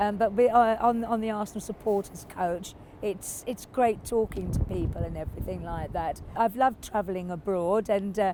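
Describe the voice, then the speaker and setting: Hardly any pauses break this woman's moderate pace. She has an English accent, a medium pitch and fairly even intonation. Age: 70s. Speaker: football fan. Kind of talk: interview. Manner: halting.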